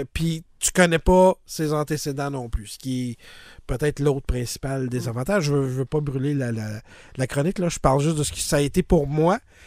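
A man with a fairly high pitch and a Quebec accent talks at a moderate pace with ordinary pitch variation, in a very clean recording with a silent background. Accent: Québécois French. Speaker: podcast host. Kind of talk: casual chat. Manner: halting, many repetitions and fillers.

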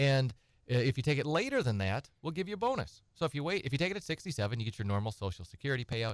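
A man's lively intonation in a dry, close sound with no echo. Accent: American. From Wisconsin. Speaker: estate planning attorney. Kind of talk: radio call-in advice. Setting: radio studio.

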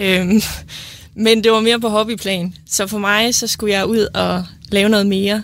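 This woman's intonation is monotone and flat. She speaks at a fairly slow pace. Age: 20s. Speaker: nursing student. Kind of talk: casual chat.

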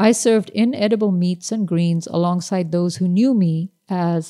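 In a very clean recording with a silent background, a woman with a Pakistani accent speaks at a moderate pace in a medium pitch with ordinary pitch variation and a dark, mellow tone, the sound dry and close with no echo. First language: Urdu. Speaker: novelist. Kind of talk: reading aloud.

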